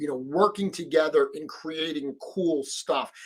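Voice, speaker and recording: Speaking at a fairly slow pace, a man with a Rhode Island accent uses a fairly high pitch and ordinary pitch variation. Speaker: live stream host and toy customizer. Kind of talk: live stream chat. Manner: casual, with filler words.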